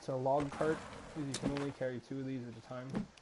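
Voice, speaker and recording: A man at a very fast pace, medium in pitch, over noticeable background noise. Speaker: gaming video creator. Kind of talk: let's play commentary. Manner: loud.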